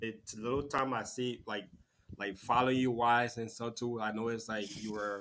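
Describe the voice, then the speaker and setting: A man with a Liberian accent speaks at a moderate pace in a medium pitch, his intonation monotone and flat. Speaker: talk show host. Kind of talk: interview.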